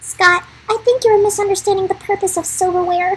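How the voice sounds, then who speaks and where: A woman puts on a squeaky character voice at an extremely high pitch. She delivers it at a fairly quick pace. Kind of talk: posh upper-class put-on. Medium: game stream. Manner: prim, superior.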